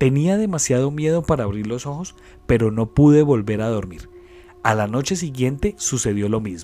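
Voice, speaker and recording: In a Colombian accent, a man speaks at a moderate pace and medium pitch, with lively intonation and a dramatic tone. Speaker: podcast host and storyteller. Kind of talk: ghost story telling, creepypasta read aloud in a spooky narrative style. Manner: hushed, eerie and suspenseful, with dramatic pauses.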